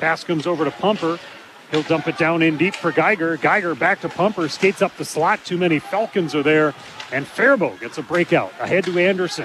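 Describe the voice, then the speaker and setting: Over noticeable background noise, a man talks at a high pitch and a fairly quick pace with ordinary pitch variation. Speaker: radio sports broadcaster. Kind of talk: live play-by-play commentary. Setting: rink broadcast table, in arena. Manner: fast, fluent, clipped play-by-play delivery.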